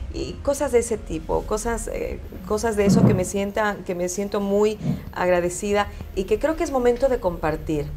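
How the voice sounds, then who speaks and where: Noticeable background noise sits behind a woman speaking at medium pitch. She keeps a moderate pace with lively intonation. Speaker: broadcaster. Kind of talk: interview.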